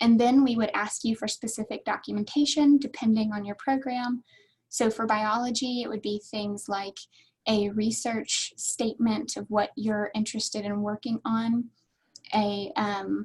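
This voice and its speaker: A woman speaks in a fairly high, somewhat breathy voice. Her intonation stays fairly even. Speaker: graduate admissions staff presenter. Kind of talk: online workshop presentation. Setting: webinar with chat. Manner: fast.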